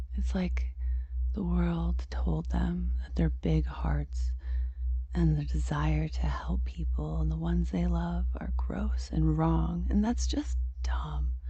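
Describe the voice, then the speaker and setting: Against noticeable background noise, a woman with a very deep, low pitch speaks very slowly in a gentle tone with monotone, flat intonation. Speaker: ASMR creator. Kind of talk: ASMR roleplay monologue, affectionate mommy persona talking to the listener. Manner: soft-spoken, gentle, whispered.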